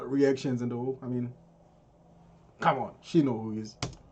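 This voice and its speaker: A man's medium-pitched voice with a dark, mellow tone at a moderate pace. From Zimbabwe. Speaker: reaction youtuber. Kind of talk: reaction commentary. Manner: halting, repetitive.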